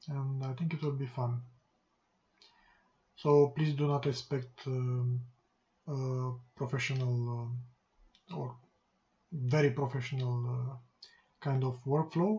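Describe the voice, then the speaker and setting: Soft-spoken and with a non-native accent, this voice moves at a fairly slow pace broken by long, frequent pauses. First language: not English. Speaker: game programmer, coding youtuber. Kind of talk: coding tutorial. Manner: halting, many pauses. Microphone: quiet, mic boost at maximum.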